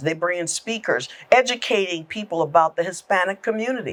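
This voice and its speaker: An ordinary speaking voice with an American accent and lively intonation moves at a moderate pace in a very clean recording with a silent background. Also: woman. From South Carolina Lowcountry (Awendaw). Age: 60s. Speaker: government agency executive director. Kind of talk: podcast interview.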